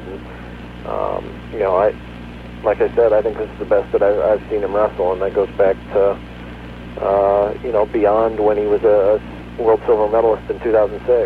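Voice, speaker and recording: There is noticeable noise behind this recording. A man talks at a moderate pace over it. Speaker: sports journalist. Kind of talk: radio interview. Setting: phone call. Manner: casual, filler-heavy.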